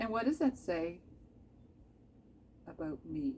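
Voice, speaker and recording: A woman speaks with a slight Canadian accent. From Canada. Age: 50s. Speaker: craft video maker. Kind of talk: casual tutorial chat. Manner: chatty, rambling asides.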